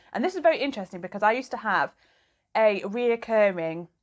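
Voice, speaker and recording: Fairly quick female speech with a British accent. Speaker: mental health vlogger. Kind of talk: vlog monologue. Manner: casual.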